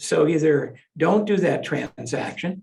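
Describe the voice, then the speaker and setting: A man's voice with vocal fry. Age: 70s. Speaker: real estate lawyer. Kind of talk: interview.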